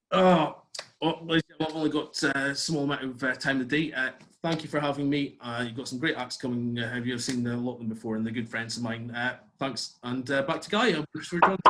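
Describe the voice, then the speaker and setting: In a Scottish accent, this speaker goes at a very fast pace with ordinary pitch variation. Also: man, medium pitch for a man. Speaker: comedian. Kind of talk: stand-up. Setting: video call.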